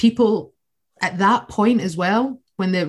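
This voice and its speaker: A woman with a Scottish accent speaks at a medium pitch, slightly breathy. Her intonation is lively. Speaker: socialist activist. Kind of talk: political discussion.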